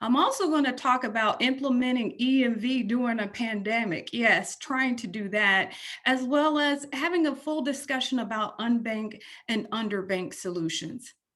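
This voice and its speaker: Here a woman talks with a Texan accent at a high pitch. Her pace is moderate and her pitch varies in an ordinary way. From Texas. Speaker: transit agency executive. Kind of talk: presentation.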